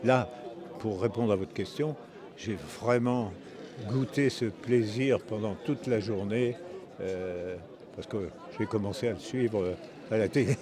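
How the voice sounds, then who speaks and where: A man at a very slow pace, medium in pitch with ordinary pitch variation, over noticeable background noise. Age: 90s. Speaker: retired Olympic fencer. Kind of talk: interview. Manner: halting, many hesitations.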